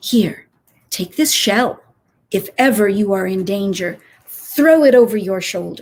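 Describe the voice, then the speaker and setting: Using a put-on character voice, a woman speaks fairly slowly at a medium pitch. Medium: read story.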